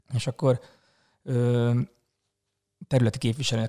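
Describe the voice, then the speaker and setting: Over a silent background on a very clean recording, a man with a medium pitch speaks in a dark, mellow tone with monotone, flat intonation. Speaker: astrophotographer and hospitality worker. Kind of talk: casual chat.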